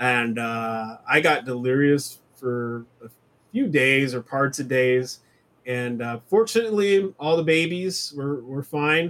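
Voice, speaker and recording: Speaking at a very slow pace, a man uses a medium pitch and lively intonation. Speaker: podcast host. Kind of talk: casual chat. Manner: hesitant, filler-heavy.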